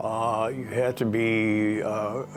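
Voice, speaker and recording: Audible room echo follows a man speaking at a fairly low pitch. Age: 80s+. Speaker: sports memorabilia collector. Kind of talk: casual interview talk. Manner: halting, many fillers.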